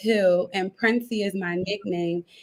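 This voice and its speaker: A woman speaks with an American accent in a bright, sharp tone. Her intonation is fairly even. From US Northeast, Philadelphia. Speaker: life coach. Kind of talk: interview. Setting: live video call. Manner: fast.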